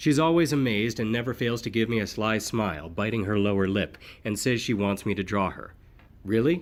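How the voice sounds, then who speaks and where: With an ordinary speaking voice, a man talks at a fairly quick pace, his pitch fairly low with ordinary variation. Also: very clean recording, silent background. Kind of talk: audiobook narration.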